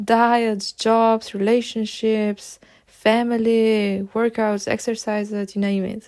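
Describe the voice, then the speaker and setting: In a Slovenian accent, a woman speaks at a fairly high pitch and a fairly slow pace, in a dark, mellow tone with monotone, flat intonation. The recording is very clean, with a silent background. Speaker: podcast host. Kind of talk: podcast monologue.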